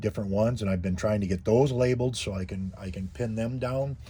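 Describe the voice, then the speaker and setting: At a moderate pace, the speaker talks in a dark, mellow, somewhat breathy voice whose pitch varies in an ordinary way. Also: man. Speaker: YouTuber living in a converted bus. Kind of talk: tutorial. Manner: halting, many fillers and repeats.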